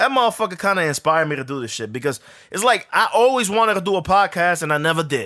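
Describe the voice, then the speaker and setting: A man's high-pitched, bright, sharp voice with very wide pitch swings at a very fast pace. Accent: New York. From New York, Harlem. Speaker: podcast host. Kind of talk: casual sports talk monologue. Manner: casual, profane.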